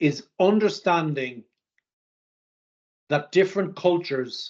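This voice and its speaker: A man with an Irish accent, high-pitched, with lively intonation and a very slow pace. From Ireland, near Dublin. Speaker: sales executive. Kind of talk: interview.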